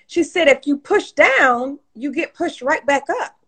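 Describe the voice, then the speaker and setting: This woman talks at a fairly slow pace with an animated tone and an American accent. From Detroit, Michigan. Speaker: entrepreneur and author. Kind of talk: casual interview on live stream. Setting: video live stream.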